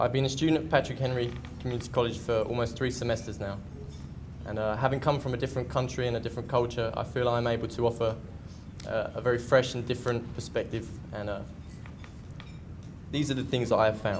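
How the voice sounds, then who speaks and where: A man with an English accent talks at a very fast pace, with fairly even intonation. Long, frequent pauses break up his speech, and the room echo is audible. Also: medium pitch for a man. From England. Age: 20s. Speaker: community college student and soccer player. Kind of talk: prepared speech at luncheon. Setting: luncheon event with audience. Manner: hesitant, with frequent fillers.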